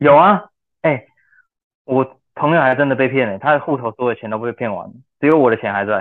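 A man talks at a very fast pace, broken by long, frequent pauses. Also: medium pitch for a man, lively intonation. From Taiwan. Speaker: language school student. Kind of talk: casual chat.

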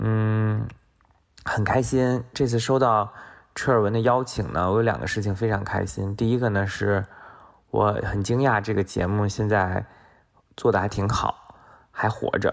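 Speaking at a fairly slow pace with long, frequent pauses, a man keeps a fairly low pitch and fairly even intonation. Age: middle-aged. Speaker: economist. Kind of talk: recorded voice submission.

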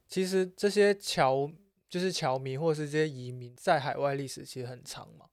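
Speaking at a moderate pace, a man with an unremarkable speaking voice sounds fairly high in pitch, with lively intonation. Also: very clean recording, silent background. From Macau. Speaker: podcast co-host. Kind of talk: casual chat.

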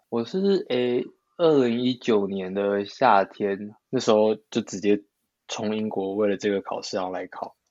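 This man has an unremarkable speaking voice, fairly low in pitch, with fairly even intonation at a fairly slow pace. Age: 20s. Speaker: dancer. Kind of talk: casual interview chat.

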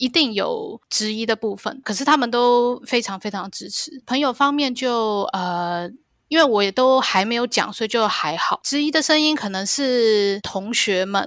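A woman with a Taiwanese accent and a high pitch, at a fairly slow pace with hardly any pauses, on a very clean recording with a silent background. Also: lively intonation. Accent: Taiwanese Mandarin. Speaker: pilot. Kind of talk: interview.

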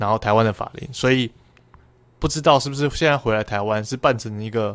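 A man with an unremarkable speaking voice talks at a fairly quick pace, with medium pitch and fairly even intonation. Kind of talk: casual chat.

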